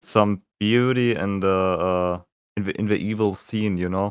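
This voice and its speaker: Someone speaks with a German accent at a very slow pace, in a monotone, flat intonation, with a dry, close sound and no echo. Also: man. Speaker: musician co-host. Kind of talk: casual chat. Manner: halting.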